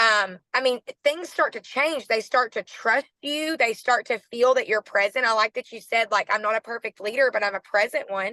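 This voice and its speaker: In a Southern US accent, a woman speaks at a fairly high pitch and a moderate pace with hardly any pauses, a bright, sharp tone and ordinary pitch variation, in a dry, close sound with no echo and a quiet background. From Arkansas, US South. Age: 30s. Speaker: network marketing team leader. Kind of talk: team call motivational talk. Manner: animated.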